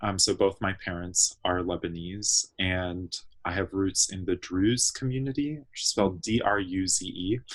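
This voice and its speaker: Against a quiet background, a man with an American accent speaks at a fairly low pitch with ordinary pitch variation. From US, Fairfax, Virginia (Washington DC area). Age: 20s. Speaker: activist and organizer. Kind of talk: interview. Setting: remote call from childhood bedroom. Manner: hesitant, many fillers.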